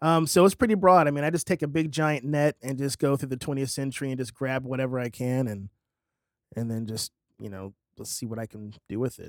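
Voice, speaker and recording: With a plain, everyday voice, a man talks fairly quickly at medium pitch with ordinary pitch variation and big swings in loudness, the sound dry and close with no echo on a very clean recording with a silent background. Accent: American. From Fort Worth, Texas. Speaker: singer-songwriter. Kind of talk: casual interview. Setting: studio.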